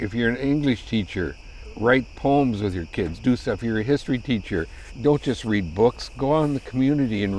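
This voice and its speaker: In an unremarkable speaking voice with an American accent, the speaker talks at a fairly quick pace with lively intonation. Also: man. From US Midwest (South Dakota). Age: 60s. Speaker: retired high school ceramics teacher and potter. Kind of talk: casual chat.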